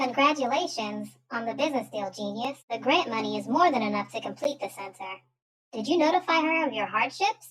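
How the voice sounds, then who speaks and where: In a put-on character voice, a female-sounding speaker talks at a fairly quick pace and a high pitch. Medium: audio drama. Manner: dry, matter-of-fact.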